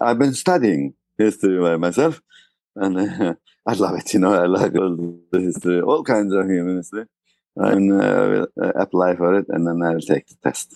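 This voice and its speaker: A man with a very deep, low pitch and a dark, mellow tone talks at a moderate pace with ordinary pitch variation, the sound dry and close with no echo against a quiet background. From Turkey. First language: Turkish. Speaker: tour guide. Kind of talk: interview. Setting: remote interview from Istanbul. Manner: halting.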